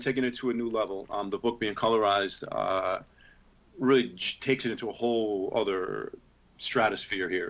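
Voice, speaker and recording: A man with a plain, everyday voice talks at medium pitch with fairly even intonation. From New York City. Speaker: heavy metal singer and comic book writer. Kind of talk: interview answer. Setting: remote video call.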